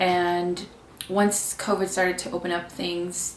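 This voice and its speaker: Speaking at a moderate pace with a Californian accent, a woman is heard amid noticeable background noise and audible room echo. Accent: Californian American English. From California, Mexican American. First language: Spanish. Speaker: vlogger, student. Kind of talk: casual vlog talk.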